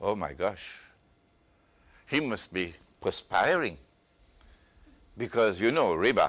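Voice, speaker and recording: A man with a fairly low pitch talks at a very slow pace, with long, frequent pauses. His pitch swings very widely. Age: 60s. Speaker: Islamic scholar, lecturer. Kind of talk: lecture. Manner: forceful.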